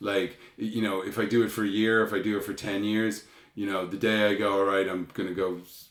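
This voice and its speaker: A man talks in a Dublin accent at a fairly quick pace. His intonation is monotone and flat. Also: fairly low pitch for a man. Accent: Irish, Dublin. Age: 50s. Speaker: punk band frontman. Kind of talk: casual chat.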